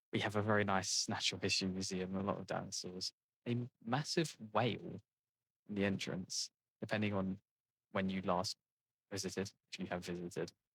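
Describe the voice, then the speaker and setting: Delivered with an English accent, the speech moves at a fairly quick pace with fairly even intonation and long, frequent pauses. The sound is dry and close, with no echo. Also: man, very deep, low pitch for a man. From England. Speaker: gaming video creator. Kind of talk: casual gameplay commentary. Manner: halting, many fillers and restarts.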